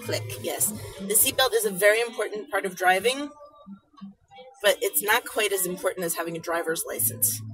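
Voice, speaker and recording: Faint music plays in the background. A woman talks at a moderate pace. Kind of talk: casual talk to a child. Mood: patient, gently amused. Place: car. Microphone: phone near.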